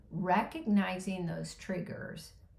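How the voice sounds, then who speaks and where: Vocal fry runs through a woman's very slow speech. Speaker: caregiver life coach. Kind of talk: motivational talk to camera.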